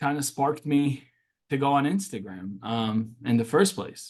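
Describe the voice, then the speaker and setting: A man's fairly high voice at a moderate pace. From Syria, Damascus; moved to US at seven. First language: Arabic. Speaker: social media activist. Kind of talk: interview.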